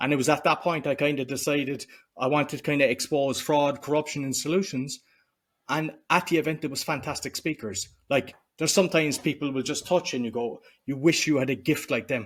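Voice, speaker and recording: A man with a Cork accent talks at a fairly quick pace and a fairly high pitch. The recording is very clean, with a silent background. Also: ordinary pitch variation. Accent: Cork Irish. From Ireland, Cork. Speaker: entrepreneur and podcaster. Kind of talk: interview conversation.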